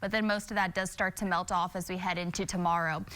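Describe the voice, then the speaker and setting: Bright and sharp in tone, a woman talks at a fairly quick pace. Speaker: TV meteorologist. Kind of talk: TV weather forecast.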